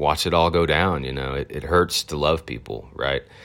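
With an American accent and vocal fry, a man speaks with ordinary pitch variation on a very clean recording with a silent background. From Arkansas, US South. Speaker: podcaster. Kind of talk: personal storytelling monologue. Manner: casual, with many fillers.

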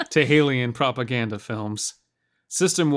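A natural reading voice, with ordinary pitch variation, over a quiet background.

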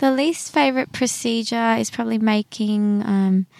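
In an Australian accent, a woman with a fairly high pitch speaks at a moderate pace with lively intonation, on a very clean recording with a silent background. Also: dry, close sound with no echo. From Brisbane, Australia. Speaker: dentist. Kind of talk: casual interview. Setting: in a car.

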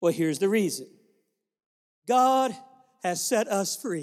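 A man speaks at a fairly slow pace. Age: 50s. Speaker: traveling preacher. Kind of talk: sermon. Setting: church.

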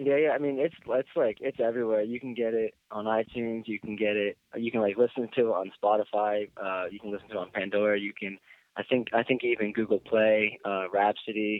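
A man's fairly low voice in an American accent, fairly quick, with fairly even intonation. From Philadelphia, US. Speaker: rock band vocalist and keyboard player. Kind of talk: interview. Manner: halting.

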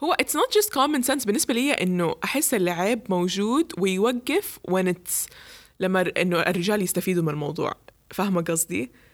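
A woman speaks at a moderate pace and a medium pitch. Her tone is animated, with very wide pitch swings. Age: 20s. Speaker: podcast host. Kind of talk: casual chat. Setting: hot room without air conditioning.

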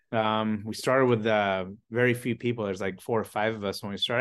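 Speaking at a very fast pace with an American accent, a man uses a medium pitch and ordinary pitch variation over a quiet background. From US South, Atlanta, Georgia area. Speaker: chocolatier and business owner. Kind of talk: casual interview chat.

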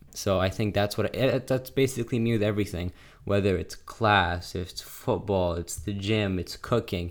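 With a normal speaking voice, a man talks at a fairly quick pace and fairly low pitch, using ordinary pitch variation. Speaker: podcast co-host, son. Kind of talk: casual chat. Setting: remote call.

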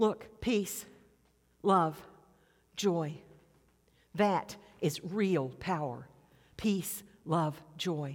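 A woman of fairly low pitch at a very slow pace, with long, frequent pauses. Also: ordinary pitch variation. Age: 70s. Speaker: preacher. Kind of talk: sermon. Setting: church.

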